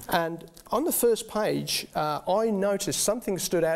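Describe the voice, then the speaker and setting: At a moderate pace, a male voice talks with ordinary pitch variation. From England, Birmingham. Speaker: guest sharing faith story. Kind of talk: testimony. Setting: studio. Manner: halting, many fillers.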